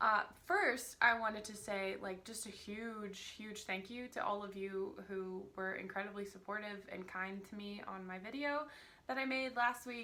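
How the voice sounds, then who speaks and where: This woman speaks at a medium pitch and a moderate pace, with fairly even intonation. Her loudness swings widely, and there is audible room echo. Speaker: vlogger discussing books and films. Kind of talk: casual vlog talk. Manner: casual, rambling with many fillers.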